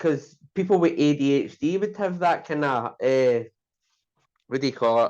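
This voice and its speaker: With a Glasgow accent, a man speaks at a moderate pace. His pitch is fairly high. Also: quiet background. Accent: Scottish (Glasgow). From Scotland, Glasgow (Maryhill). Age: 30s. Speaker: person in recovery from addiction. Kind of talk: casual interview. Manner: hesitant, many fillers.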